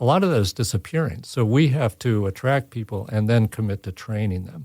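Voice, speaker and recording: A man talks at a fairly quick pace, his medium-pitched voice dark, mellow and somewhat breathy. The recording is very clean with a silent background, and the sound is dry and close with no echo. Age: 60s. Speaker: custom furniture maker, business owner. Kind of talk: interview.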